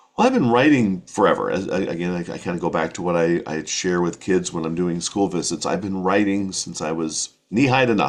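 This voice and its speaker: Speaking fairly quickly with an American accent, a man uses a very deep, low pitch. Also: ordinary pitch variation, hardly any pauses. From rural New Hampshire, USA. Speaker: children's writer, voice-over artist, former radio broadcaster. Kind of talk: casual interview answer.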